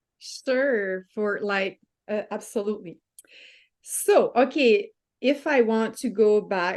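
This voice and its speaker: With a French-Canadian accent, a woman speaks at a very slow pace and a fairly high pitch. Her pitch varies in an ordinary way over a quiet background. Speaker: lifestyle coach. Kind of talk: interview. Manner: halting.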